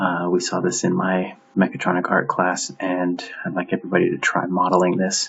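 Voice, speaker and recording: Over noticeable background noise, a man with a very deep, low pitch speaks at a fairly quick pace in a monotone, flat delivery. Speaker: art professor teaching CAD. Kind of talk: tutorial. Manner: hesitant, many fillers.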